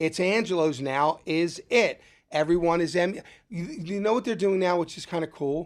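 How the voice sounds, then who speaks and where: In a Philadelphia accent, a man talks with a high pitch. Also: ordinary pitch variation, moderate pace. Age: 60s. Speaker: restaurant owner and chef. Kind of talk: casual interview. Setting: studio.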